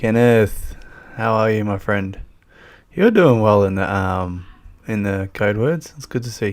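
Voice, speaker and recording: A man with a strong Australian accent speaks at a fairly slow pace and fairly low pitch. He takes long, frequent pauses and has ordinary pitch variation. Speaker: YouTuber. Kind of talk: live stream chat. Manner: casual, hesitant with many fillers.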